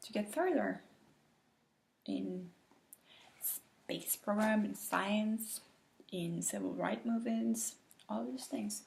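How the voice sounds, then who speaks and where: A woman with a non-native accent at a very slow pace, with long, frequent pauses. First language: not English. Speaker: teacher. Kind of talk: reading aloud. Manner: halting.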